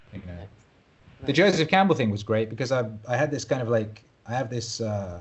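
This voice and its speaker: A man with a British accent, medium in pitch and somewhat breathy, with lively intonation, a fairly quick pace and long, frequent pauses. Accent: British, sometimes mistaken for Australian. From Wales. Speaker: musician and DJ. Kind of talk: podcast interview.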